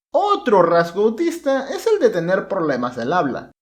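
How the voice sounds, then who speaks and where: Music can be heard behind the voice. Its pitch moves in very wide swings. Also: man. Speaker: youtuber interviewer. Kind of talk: interview narration.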